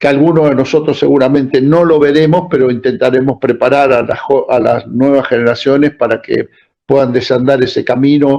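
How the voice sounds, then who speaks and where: Speaking at a fairly quick pace, a man with a fairly high pitch and a dark, mellow tone keeps his intonation fairly even and his loudness very even. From Argentina. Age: 70s. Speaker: political activist. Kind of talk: interview.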